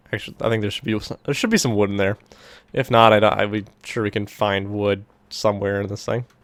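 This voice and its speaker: A man's very fast, monotone speech with flat intonation and a fairly low pitch, on a very clean recording with a silent background. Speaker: gaming YouTuber. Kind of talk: gameplay commentary. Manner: casual, filler-heavy.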